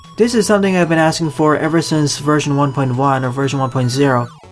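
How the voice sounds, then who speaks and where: The speech goes at a fairly quick pace, with music in the background. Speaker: video game commentator. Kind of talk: game commentary voice-over.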